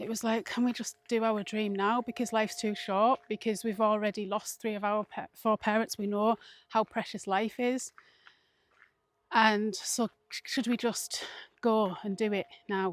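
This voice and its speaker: A woman with an English accent, fairly high in pitch, monotone and flat at a moderate pace, in a dry, close sound with no echo and a very clean recording with a silent background. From England. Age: 40s. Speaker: mindfulness vlogger. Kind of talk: casual vlog talk.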